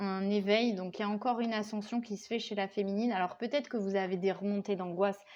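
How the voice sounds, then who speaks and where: Her intonation fairly even, a woman talks in a medium pitch. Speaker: tarot card reader. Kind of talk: tarot reading. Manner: hesitant, many fillers.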